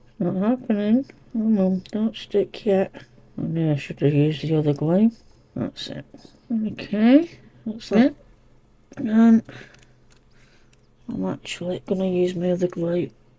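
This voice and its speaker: A woman's somewhat breathy, dark, mellow voice with lively intonation at a fairly slow pace. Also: long, frequent pauses, big swings in loudness. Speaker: cardmaking crafter. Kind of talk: tutorial. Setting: home craft room. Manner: quiet, hushed.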